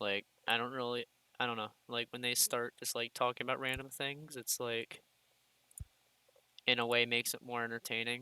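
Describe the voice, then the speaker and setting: A man's medium-pitched voice with an American accent, a bright, sharp tone and monotone, flat intonation, at a moderate pace with long, frequent pauses, in a dry, close sound with no echo. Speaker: gaming youtuber. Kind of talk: casual gameplay commentary. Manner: rambling with pauses.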